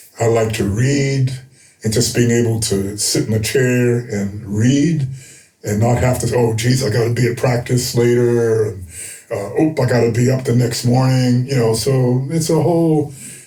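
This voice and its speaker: A medium-pitched man with an American accent, fairly even intonation and a moderate pace, amid noticeable background noise and audible room echo. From United States. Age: 70s. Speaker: retired basketball coach. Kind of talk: interview. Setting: studio. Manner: halting, many fillers.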